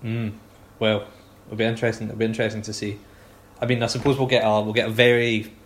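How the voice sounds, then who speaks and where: A man with a Scottish accent speaks at a fairly low pitch in a somewhat breathy voice. His intonation stays monotone and flat. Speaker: football podcast host. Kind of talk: casual chat.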